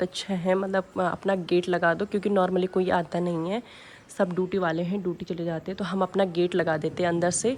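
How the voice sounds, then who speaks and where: At a moderate pace, a woman delivers her words in a medium pitch. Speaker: vlogger. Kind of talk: home tour vlog. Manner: casual, filler-heavy.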